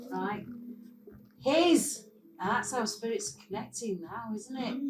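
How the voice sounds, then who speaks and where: In a room with audible echo and noticeable background noise, a woman with a Mancunian accent speaks at a fairly slow pace and a fairly high pitch, with lively intonation and big swings in loudness. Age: 60s. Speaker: former club-goer sharing memories. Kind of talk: casual group reminiscence. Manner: animated.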